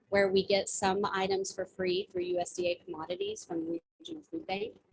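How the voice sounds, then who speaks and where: Quick-paced and somewhat breathy, a woman speaks with an American accent. Her medium pitch carries lively intonation. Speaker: executive director of a food charity. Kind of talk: talk to a service club. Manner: fast.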